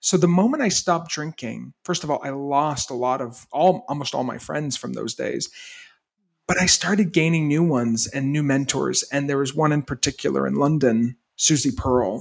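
A man speaks in an unremarkable speaking voice with ordinary pitch variation. The recording is very clean, with a silent background. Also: fairly high pitch for a man, moderate pace. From US Northeast, Maine. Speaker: entrepreneur and retreat center founder. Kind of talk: interview conversation.

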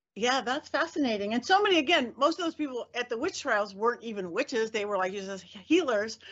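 With an American accent, a woman speaks high and fairly quickly, with hardly any pauses and very wide pitch swings. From Southern California (Los Angeles suburbs). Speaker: podcast host and witch. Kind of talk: interview, casual chat.

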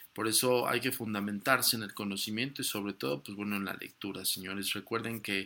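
On a very clean recording with a silent background, a man with a fairly low pitch and a bright, sharp tone speaks at a moderate pace with ordinary pitch variation. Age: 40s. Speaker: paranormal podcast host. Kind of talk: podcast monologue on the occult.

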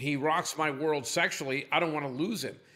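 An animated man with a fairly high pitch, ordinary pitch variation and a bright, sharp tone, at a moderate pace in a very clean recording with a silent background. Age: 60s. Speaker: company CEO. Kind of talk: podcast interview.

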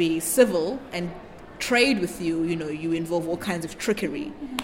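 With noticeable background noise, a woman speaks at a moderate pace. Room echo is audible too. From South Africa, Newcastle. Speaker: exhibition curator. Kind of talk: interview.

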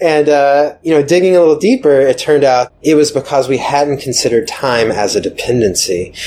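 Against noticeable background noise, a man with an American accent talks at a fairly quick pace with hardly any pauses, a fairly high pitch, ordinary pitch variation, and very even loudness. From US South, Atlanta. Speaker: software developer. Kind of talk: casual interview. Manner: hesitant, many fillers.

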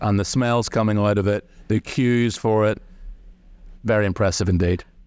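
A man's fairly low voice at a moderate pace with fairly even intonation. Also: very even loudness. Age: 40s. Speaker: golf reporter. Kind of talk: casual chat.

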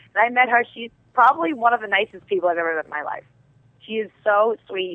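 A woman talks at a very fast pace in a Brooklyn accent. Her medium-pitched voice has lively intonation. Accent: Brooklyn New York. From New York. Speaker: TV actress. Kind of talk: casual interview chat.

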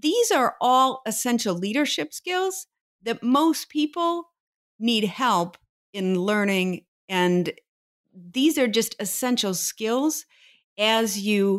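A woman with an American accent, fairly high pitch and very wide pitch swings, at a very slow pace in a very clean recording with a silent background. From rural Ohio. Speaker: leadership consultant and professor. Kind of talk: interview.

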